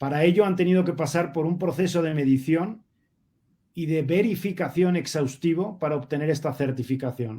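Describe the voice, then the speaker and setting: Here a man with a Spanish accent talks at a moderate pace. His fairly high voice has a dark, mellow tone and ordinary pitch variation. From Spain. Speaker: sustainability advocate, panelist. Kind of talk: panel discussion.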